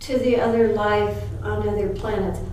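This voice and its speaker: A woman with an American accent at a very slow pace, with audible room echo. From Utah. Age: 60s. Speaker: spiritual teacher. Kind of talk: interview storytelling. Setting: shop studio. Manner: hesitant fillers.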